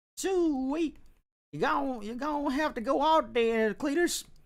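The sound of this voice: A high-pitched, put-on character voice at a fairly slow pace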